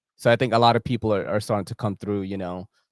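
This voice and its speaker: Speaking very fast in a New York accent, a man with a fairly low pitch comes through a very clean recording with a silent background and a dry, close sound with no echo. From New York City. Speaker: EDC content creator. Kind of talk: casual chat. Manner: animated.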